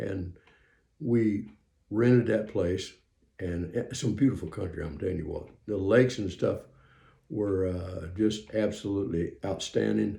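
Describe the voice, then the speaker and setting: A man's fairly low, somewhat breathy voice has a dark, mellow tone and ordinary pitch variation as he speaks at a fairly slow pace. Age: 70s. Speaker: preacher. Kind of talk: testimony. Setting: home recording room. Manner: halting, many fillers.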